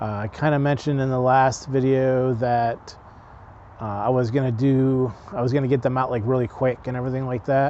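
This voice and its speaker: His intonation fairly even, a man talks in a medium pitch. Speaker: travel vlogger. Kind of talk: casual vlog update. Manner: monotone.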